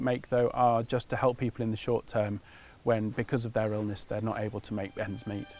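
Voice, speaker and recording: Here a man talks in an unremarkable speaking voice at a medium pitch. His pace is fairly quick and his intonation fairly even. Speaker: charity representative. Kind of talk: interview answer.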